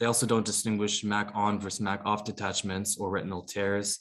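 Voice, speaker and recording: A man talks in a fairly low pitch, the background quiet. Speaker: emergency physician presenting. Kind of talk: medical lecture. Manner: fast; halting.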